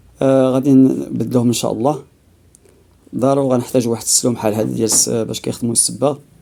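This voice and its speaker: In a Moroccan accent, the speaker talks at a very fast pace with a dark, mellow tone and fairly even intonation. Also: man, medium pitch for a man. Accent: Moroccan Darija. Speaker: DIY repair video maker. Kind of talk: tutorial. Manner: halting, many fillers.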